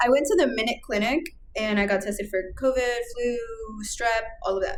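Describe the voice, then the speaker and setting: Noticeable background noise sits under a woman's voice. She speaks at a fairly quick pace, fairly high in pitch, with ordinary pitch variation. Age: 20s. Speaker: podcast co-host. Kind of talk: casual chat.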